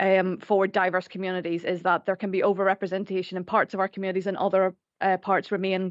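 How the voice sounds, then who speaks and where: Talking at a very fast pace in a medium pitch, a woman with an Irish accent comes through with a dry, close sound, no echo and a quiet background. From Ireland. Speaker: staff network representative. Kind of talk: formal committee presentation. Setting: council committee meeting room.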